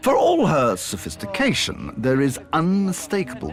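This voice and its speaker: Music plays in the background as a man speaks with an English accent. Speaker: documentary presenter, former diplomat. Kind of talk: scripted narration. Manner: formal.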